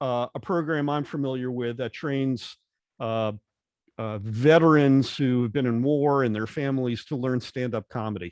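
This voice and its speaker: In a quiet background, a man speaks at a moderate pace in an unremarkable speaking voice with ordinary pitch variation. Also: medium pitch for a man. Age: 60s. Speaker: podcast host. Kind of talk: interview conversation.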